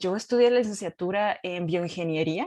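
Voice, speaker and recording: A woman with a Baja California accent speaks in a fairly low pitch. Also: quiet background. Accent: Baja California Mexican Spanish. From Mexico, Baja California (Ensenada). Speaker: scientist. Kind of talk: talk at a forum. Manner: casual with many fillers.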